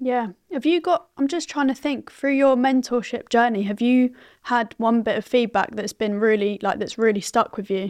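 A woman's high voice with ordinary pitch variation against a quiet background. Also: moderate pace. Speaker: podcast host. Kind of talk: casual interview.

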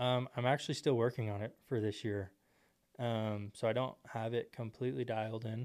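Speaking in an ordinary speaking voice with an American accent, a man talks at a medium pitch and moderate pace with fairly even intonation. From Texas, Temple. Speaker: door-to-door salesman. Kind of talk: casual interview.

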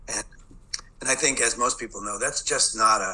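The speaker keeps a moderate pace while noticeable background noise runs underneath. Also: man. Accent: Boston. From Boston, US. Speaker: education expert. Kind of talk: interview. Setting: video call.

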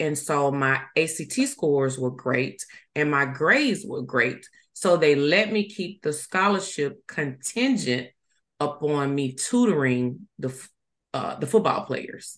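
In a Southern US accent, a woman speaks with a very deep, low pitch. Her pace is fairly slow and her intonation lively. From US South, Mississippi. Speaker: life coach. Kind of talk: casual chat.

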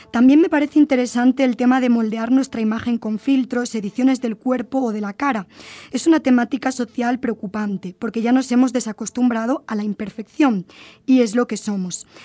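Pitched high, a woman with a Spanish accent talks at a fairly quick pace in a dark, mellow tone. Her intonation is fairly even, and the sound is dry and close with no echo. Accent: Spanish (Spain). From Spain. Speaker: university lecturer and podcast host. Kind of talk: podcast discussion with students.

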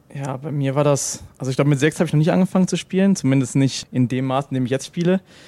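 A man speaks at a very fast pace with hardly any pauses, his pitch fairly high with ordinary variation. His tone is dark and mellow. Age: 20s. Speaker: professional esports player. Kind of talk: casual interview.

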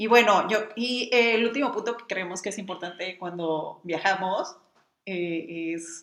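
Her intonation is lively, and this woman's pitch sits in the medium range. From Mexicali, Baja California, Mexico. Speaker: travel blogger and photographer. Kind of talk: casual chat. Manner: animated.

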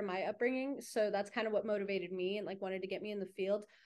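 Against a quiet background, a woman speaks at a very fast pace. Her pitch is medium and her intonation fairly even. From New Mexico, Santa Fe. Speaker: student. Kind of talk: casual interview chat.

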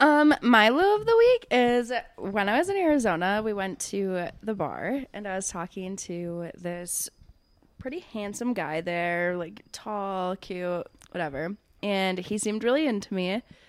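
A woman with an unremarkable speaking voice talks at a medium pitch and fairly slow pace, using lively intonation. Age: 20s. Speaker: podcast co-host and daycare worker. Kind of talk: casual chat.

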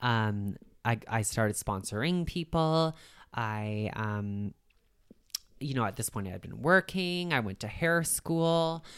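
Speaking with a Canadian accent, a woman uses a very deep, low pitch at a very slow pace. Her pitch swings very widely, and the recording is very clean with a silent background. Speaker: recovery advocate and hair stylist. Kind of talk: casual interview, personal story.

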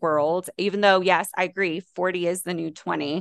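Someone with an American accent speaks at a moderate pace. The intonation is monotone and flat over a quiet background. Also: woman, dry, close sound with no echo. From US West, Las Vegas. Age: 30s. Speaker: fitness trainer. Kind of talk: casual chat. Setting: video call.

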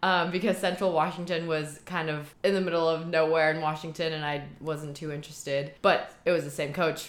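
A woman with a very deep, low voice speaks in a flat monotone, barely pausing, while the room echo is audible. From Shanghai, China (German-Chinese family). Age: 20s. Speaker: university student and rugby player. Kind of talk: casual interview chat.

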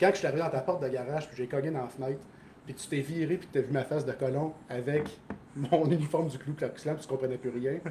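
Amid noticeable background noise, a man with a Quebec accent talks very fast in a fairly high voice, his intonation fairly even but his loudness swinging widely. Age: 30s. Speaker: soldier. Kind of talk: casual chat.

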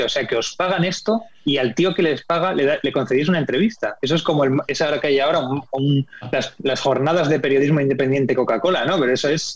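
A man with a fairly high voice talks at a very fast clip. Background noise is noticeable behind him. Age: 40s. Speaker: TV screenwriter and director. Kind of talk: interview.

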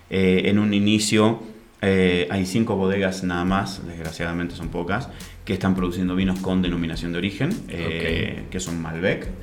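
A man's very deep, low voice in a monotone with flat intonation, at a moderate pace, with audible room echo. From Argentina, Mendoza. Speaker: winemaker. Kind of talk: interview. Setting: studio.

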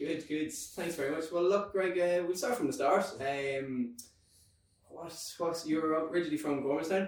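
A man with an Irish accent, high-pitched for a man, at a moderate pace with ordinary pitch variation, over noticeable background noise. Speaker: podcast host. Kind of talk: scripted intro then interview.

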